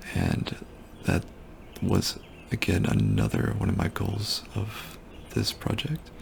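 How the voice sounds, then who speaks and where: The speaker is a man talking in a whisper. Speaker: student. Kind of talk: casual project demo narration. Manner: whispered.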